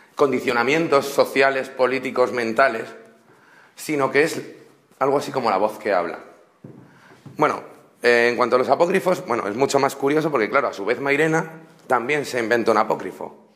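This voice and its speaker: A man speaks at a fairly quick pace and a medium pitch, with ordinary pitch variation and long, frequent pauses. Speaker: university student. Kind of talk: class presentation. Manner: fast; halting.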